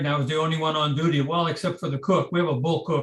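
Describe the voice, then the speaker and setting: A somewhat breathy man at a fairly high pitch, with fairly even intonation. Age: 80s+. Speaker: retired field engineer giving a talk. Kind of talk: slide presentation. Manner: hesitant, many fillers.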